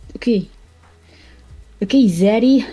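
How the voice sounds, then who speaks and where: With music in the background, a woman speaks at a very slow pace in a medium pitch. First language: Spanish. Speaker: streamer and artist. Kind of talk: casual chat while drawing.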